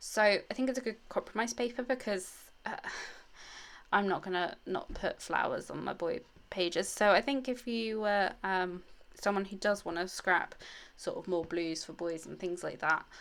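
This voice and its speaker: A woman with a British accent and a medium pitch speaks at a moderate pace with ordinary pitch variation, in a very clean recording with a silent background. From England. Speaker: scrapbooking youtuber. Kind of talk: crafting tutorial. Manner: casual, hesitant with many fillers.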